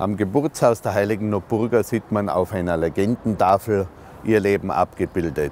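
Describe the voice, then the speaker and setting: A man's fairly low voice at a moderate pace, ordinary pitch variation, dry sound with no echo, light background noise. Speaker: local guide or historian. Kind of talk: documentary explanation to camera. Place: street.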